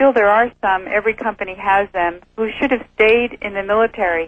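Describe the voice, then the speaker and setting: Using an ordinary speaking voice, a woman talks at a medium pitch and a moderate pace. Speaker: former flight attendant. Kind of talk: interview.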